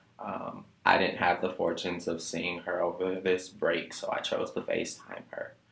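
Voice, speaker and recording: Noticeable background noise fills the clip. Over it, a man talks fairly slowly. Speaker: college student. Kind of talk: interview questions.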